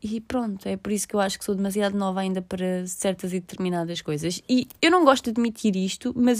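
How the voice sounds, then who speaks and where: A woman's voice with ordinary pitch variation, dry and close with no echo, on a very clean recording against a silent background. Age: 20s. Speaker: podcaster. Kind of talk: casual monologue. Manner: halting.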